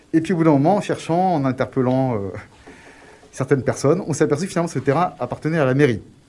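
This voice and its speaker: A man with a fairly high voice talks very fast yet leaves long, frequent pauses, with ordinary pitch variation. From Grenoble, France. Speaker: community project proposer. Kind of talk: radio interview.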